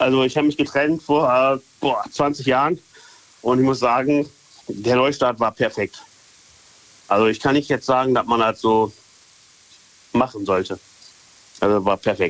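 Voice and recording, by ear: A man talks at a moderate pace with a medium pitch. His intonation is fairly even, broken by long, frequent pauses.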